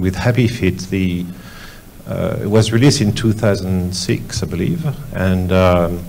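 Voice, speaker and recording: A man with a very deep, low pitch speaks fairly slowly in a French accent. Audible room echo and noticeable background noise fill the recording. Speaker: visual effects studio executive. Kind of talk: panel discussion. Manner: halting.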